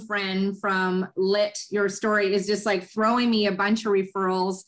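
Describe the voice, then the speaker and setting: On a very clean recording with a silent background, a woman uses an unremarkable speaking voice at medium pitch and a fairly slow pace. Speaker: podcast host. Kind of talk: podcast interview questions.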